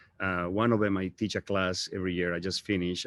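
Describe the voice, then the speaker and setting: Delivered at a very fast pace in a strong Bolivian accent, the speech has a monotone, flat intonation. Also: man. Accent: thick Bolivian Spanish. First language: Spanish. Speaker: real estate agent. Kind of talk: motivational talk. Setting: live stream.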